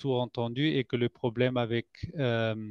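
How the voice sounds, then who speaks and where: A man speaks at a fairly slow pace and medium pitch, with fairly even intonation. The sound is dry and close with no echo, over a quiet background. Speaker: scientist at a collagen producer. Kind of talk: product presentation. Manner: halting, many hesitations. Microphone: microphone problem.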